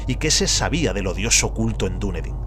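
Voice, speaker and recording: With music in the background and audible room echo, a man speaks in a very deep, low voice. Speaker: audiobook narrator. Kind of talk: reading aloud of a horror story.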